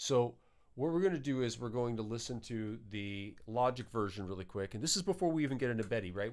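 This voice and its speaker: Over a silent background in a very clean recording, a man at a medium pitch talks at a very fast pace with lively intonation. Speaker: musician and livestream host. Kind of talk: live tutorial stream. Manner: casual, halting with fillers.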